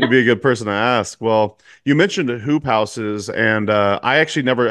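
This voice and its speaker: A man with an American accent and an ordinary speaking voice, at medium pitch with ordinary pitch variation and a moderate pace. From Eugene, Oregon, US Pacific Northwest. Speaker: podcast host. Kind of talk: casual interview chat. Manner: relaxed, casual.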